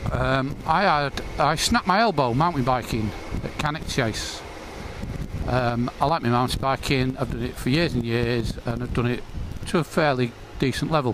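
Medium-pitched male voice with ordinary pitch variation, over noticeable background noise. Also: moderate pace. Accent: English. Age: 50s. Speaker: motorcycle vlogger. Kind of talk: casual vlog monologue. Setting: riding a motorcycle outdoors.

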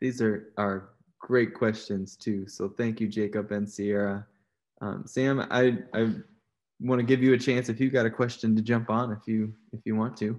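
A man's monotone, flat voice at medium pitch with a Midwestern American accent, at a moderate pace against a quiet background. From Iowa. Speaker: percussion professor and moderator. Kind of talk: panel moderation.

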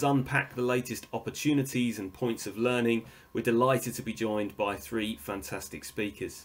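The talk runs at a fairly quick pace with ordinary pitch variation. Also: man. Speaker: event host. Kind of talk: scripted host introduction. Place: home room. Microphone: earbuds.

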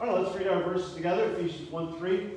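A man speaks with strong room echo. Light noise is present in the background. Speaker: pastor leading a service. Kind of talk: announcements and scripture reading. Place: church. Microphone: camera far.

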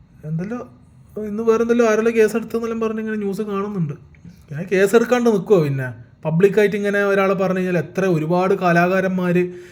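High pitch from a male speaker, with ordinary pitch variation. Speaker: YouTuber. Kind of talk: opinion monologue. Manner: animated; halting.

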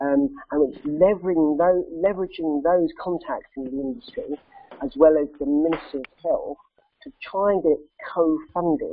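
Her volume aside, a man speaks at a high pitch and moderate pace, with ordinary pitch variation and big swings in loudness. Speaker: film society president. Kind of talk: presentation. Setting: video call with slides. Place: office. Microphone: webcam.

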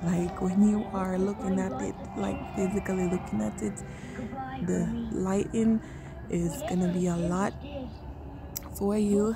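A woman talks at a fairly slow pace in a dry recording with no echo. Clear music plays behind her. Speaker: vlogger visiting light display. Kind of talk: casual vlog chat. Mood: amazed, admiring. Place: garden. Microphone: phone near.

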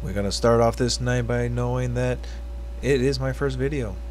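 Light background noise accompanies a man whose very deep, low voice moves at a moderate pace with fairly even intonation. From Hawaii, USA. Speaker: YouTube reaction video creator. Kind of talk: casual talk to camera. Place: home room. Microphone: webcam.

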